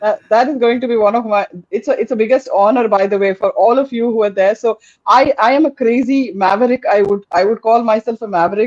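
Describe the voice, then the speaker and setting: A woman talks at a fairly high pitch with ordinary pitch variation. Her loudness stays very even. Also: dry, close sound with no echo. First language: Tamil. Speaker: podcast host. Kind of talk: interview chat.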